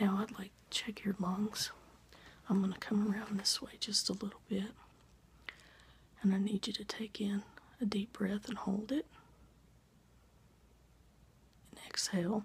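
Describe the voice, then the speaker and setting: A soft-spoken voice moves at a moderate pace with long, frequent pauses. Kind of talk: role-play doctor exam talk to the viewer. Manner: soft, close ASMR doctor voice. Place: home room. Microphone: phone near.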